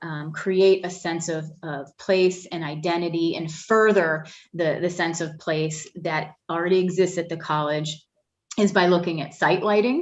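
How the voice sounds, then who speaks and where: This woman has an unremarkable speaking voice, fairly low in pitch, with ordinary pitch variation. She talks at a fairly slow pace. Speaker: facilities planning consultant. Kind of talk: presentation to a board.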